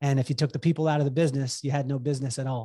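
Against a quiet background, a man with an American accent talks at a fairly high pitch in a somewhat breathy, dark, mellow tone with fairly even intonation. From US, military upbringing, mostly western states. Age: 40s. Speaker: entrepreneur and business coach. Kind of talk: casual chat.

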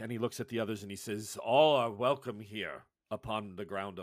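The intonation stays fairly even in a natural reading voice. Nothing can be heard behind it.

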